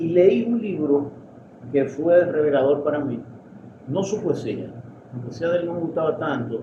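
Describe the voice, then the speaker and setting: A man at a moderate pace with long, frequent pauses, audible room echo and noticeable background noise. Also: ordinary pitch variation. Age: 60s. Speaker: poet and literary critic. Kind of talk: interview. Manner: halting.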